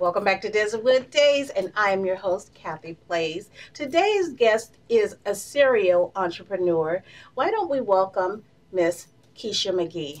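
The intonation is lively. A woman talks at a fairly slow pace. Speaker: talk show host. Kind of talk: interview questions. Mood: warm, friendly. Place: studio.

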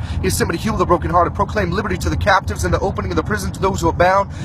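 A man talks at a very fast pace over noticeable background noise. The sound is dry, with no echo. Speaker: lay preacher. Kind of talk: casual vlog chat then deliverance prayer. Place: car. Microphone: phone near.

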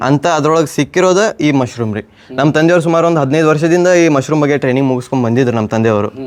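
Noticeable background noise sits behind a man whose pitch rises and falls in an ordinary way. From North Karnataka, India (Jamkhandi, Bagalkot district). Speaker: young mushroom farmer. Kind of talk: interview.

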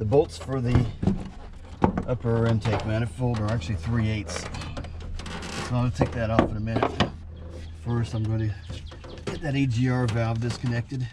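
A man talks at a moderate pace with ordinary pitch variation. Long, frequent pauses break his speech amid loud background noise. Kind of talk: tutorial. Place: open country. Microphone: camera far.

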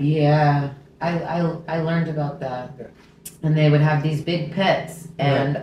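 A woman's monotone, flat delivery carries audible room echo and light background noise. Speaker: podcast host. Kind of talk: casual interview talk. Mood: earnest, emotional. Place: kitchen.

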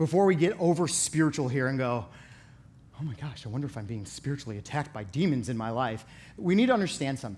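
This man's somewhat breathy voice swings very widely in pitch at a fairly quick pace. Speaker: youth pastor. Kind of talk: sermon. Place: stage. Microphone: headset.

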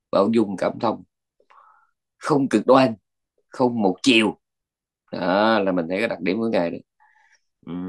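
A man's fairly low voice with ordinary pitch variation, a fairly slow pace and long, frequent pauses over a quiet background. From Vietnam. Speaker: Buddhist monk teacher. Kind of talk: dharma talk lecture. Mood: calm, reflective teaching. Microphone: video call.

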